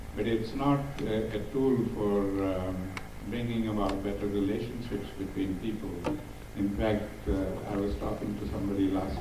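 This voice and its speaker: Noticeable background noise runs under this recording. A man talks at a moderate pace in a fairly low pitch. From South Africa. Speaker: activist and diversity speaker. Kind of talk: Q&A answer to audience.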